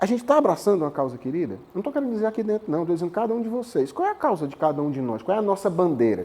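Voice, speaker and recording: Very fast and high-pitched, a man speaks with very wide pitch swings. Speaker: professor, guest lecturer. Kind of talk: lecture. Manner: animated.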